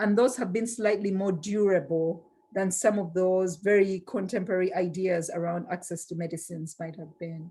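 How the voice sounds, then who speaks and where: A woman's somewhat breathy, dark, mellow voice at medium pitch, with fairly even intonation, big swings in loudness, a moderate pace and hardly any pauses. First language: not English. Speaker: global health law academic. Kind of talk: panel discussion.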